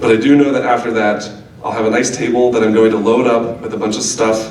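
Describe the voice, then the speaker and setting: A man keeps his intonation fairly even and his pace moderate, while noticeable background noise and audible room echo fill the recording. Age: 20s. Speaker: reader at a poetry event. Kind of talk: reading aloud.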